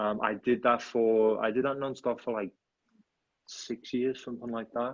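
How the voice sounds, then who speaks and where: The speaker is a man with a Liverpool accent. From England, Liverpool. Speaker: headshot photographer. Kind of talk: casual interview chat.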